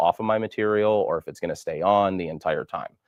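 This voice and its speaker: A man at a fairly quick pace. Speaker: product demonstrator. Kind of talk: tutorial. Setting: live stream. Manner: fast.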